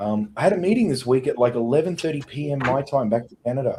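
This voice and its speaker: At a moderate pace, a man with a fairly high pitch and a somewhat breathy voice speaks with ordinary pitch variation. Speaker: business podcast host. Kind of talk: casual chat.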